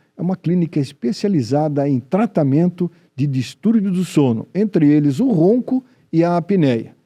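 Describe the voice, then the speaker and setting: A man talks slowly in a dark, mellow voice with lively intonation. The sound is dry and close, with no echo. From Brazil, Joinville (Santa Catarina). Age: 70s. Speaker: TV health show host. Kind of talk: TV show presenting.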